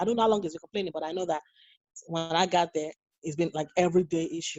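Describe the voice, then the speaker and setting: Talking at a very fast pace, a woman with a Nigerian accent keeps a fairly low pitch and fairly even intonation. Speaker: nurse. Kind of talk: interview. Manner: halting, many repeated words.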